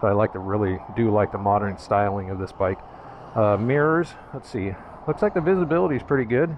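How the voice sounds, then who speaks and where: A man with a fairly low pitch talks at a fairly quick pace, the sound dry with no echo and light background noise behind him. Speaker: rider reviewing scooter. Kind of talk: casual vlog chat. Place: street. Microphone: helmet.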